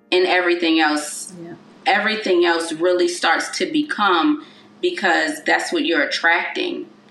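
A woman talks at a moderate pace. The room has an audible echo, and there is noticeable background noise. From Baltimore, Maryland, US. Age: 30s. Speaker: celebrity stylist and wellness coach. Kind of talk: casual interview chat.

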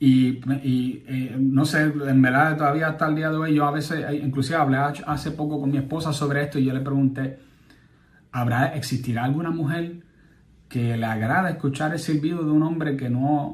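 A man speaks at a moderate pace in a fairly high, somewhat breathy voice. His intonation stays fairly even, and the room echo is audible. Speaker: political commentary podcaster. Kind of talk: political commentary monologue. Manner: halting, frequent repetitions.

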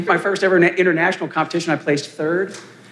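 Background noise is clearly audible here. Over it, a man talks. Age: 50s. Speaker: panelist with hemophilia, fitness enthusiast. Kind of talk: live panel discussion.

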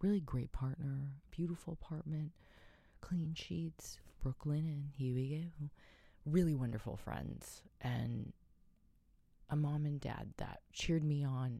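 A woman's very deep, low-pitched voice, dark and mellow in tone, with ordinary pitch variation at a fairly slow pace. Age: 40s. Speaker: podcast host and author. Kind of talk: casual monologue. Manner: animated.

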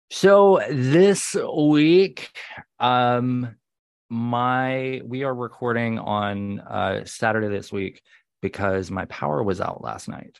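In a quiet background, a man speaks very slowly with very wide pitch swings. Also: medium pitch for a man. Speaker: pop culture podcast co-host. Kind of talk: casual chat. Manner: irreverent, joking.

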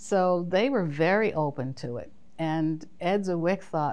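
This woman has an American accent, an ordinary speaking voice, and ordinary pitch variation. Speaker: costume designer. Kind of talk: casual interview.

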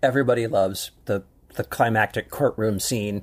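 A man talks at a moderate pace with a West Coast US accent. His pitch is medium. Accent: General American (West Coast). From Southern California, Long Beach. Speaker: film critic and podcast co-host. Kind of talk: casual advice chat with film recommendations. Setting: studio. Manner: hesitant, many fillers and repetitions.

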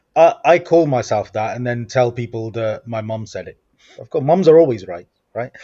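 At a moderate pace, a man with a medium pitch and a dark, mellow tone speaks with lively intonation and big swings in loudness. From Coventry, English Midlands. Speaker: social media trainer. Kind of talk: podcast interview.

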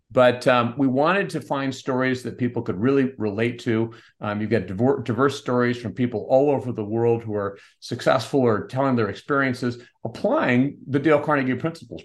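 A man talks at a fairly quick pace in a plain, everyday voice of medium pitch. His pitch varies in an ordinary way against a quiet background. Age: 50s. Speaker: company CEO and author. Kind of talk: short prepared talk; interview.

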